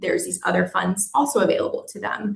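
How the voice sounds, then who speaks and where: The woman's voice is somewhat breathy and sits at a medium pitch. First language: Spanish. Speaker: destination organization staffer running hospitality worker relief fund. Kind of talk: webinar presentation. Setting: virtual forum.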